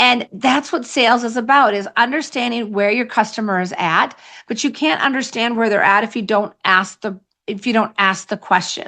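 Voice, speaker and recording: A woman with an American accent, a bright, sharp tone and fairly high pitch, ordinary pitch variation, over a quiet background. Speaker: sales coach. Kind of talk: podcast interview. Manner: fast; high energy.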